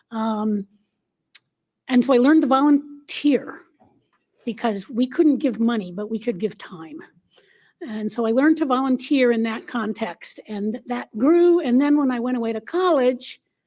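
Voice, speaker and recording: A woman talks at a moderate pace in a high, dark, mellow voice with lively intonation. Her speech has long, frequent pauses. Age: 60s. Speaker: LGBTQ activist panelist. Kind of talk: panel discussion.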